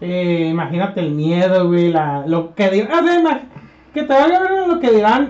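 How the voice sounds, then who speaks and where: With a Mexican accent, a man speaks in a high pitch at a fairly slow pace. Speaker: podcast co-host. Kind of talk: casual chat.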